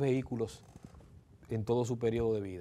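A man's dark, mellow tone at a moderate pace. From Dominican Republic, Santo Domingo; Dominican Republic. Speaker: electric vehicle conversion specialist; guest. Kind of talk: interview. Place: studio. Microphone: lapel.

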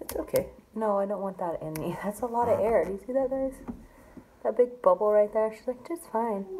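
A woman talks fairly quickly in an ordinary speaking voice, fairly high in pitch with ordinary pitch variation. Her loudness swings widely over light background noise. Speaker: vlogger undergoing IVF; vlogger. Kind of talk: casual vlog. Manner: casual, chatty. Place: home room. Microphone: phone near.

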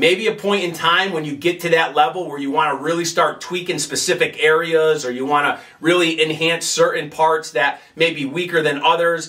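Keeping his intonation fairly even, a man speaks at a fairly quick pace. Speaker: fitness coach. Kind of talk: tutorial. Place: gym.

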